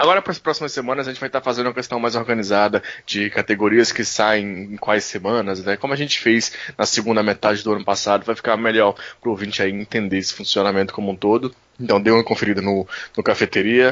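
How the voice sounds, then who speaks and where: With a northeastern Brazilian accent, a man speaks at a very fast pace, using a fairly low pitch and fairly even intonation. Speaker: podcast co-host. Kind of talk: casual podcast chat.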